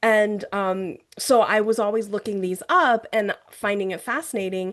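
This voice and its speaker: At a fairly slow pace, a woman speaks in an ordinary speaking voice with a medium pitch and ordinary pitch variation. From US, raised in Mandarin-speaking home. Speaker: novelist. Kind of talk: author interview.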